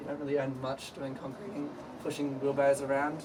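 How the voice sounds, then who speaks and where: Noticeable background noise runs under a man speaking at a very fast pace. He has a fairly high pitch and talks with an Australian accent. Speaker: sales team member giving promotion speech. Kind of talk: informal speech to colleagues. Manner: casual, filler-heavy.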